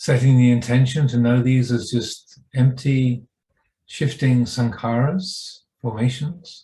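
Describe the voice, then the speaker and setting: At a fairly slow pace, a man speaks in a somewhat breathy, dark, mellow voice at medium pitch. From England. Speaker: Buddhist monk and meditation teacher. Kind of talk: guided meditation. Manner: slow, calm, unhurried, with long pauses.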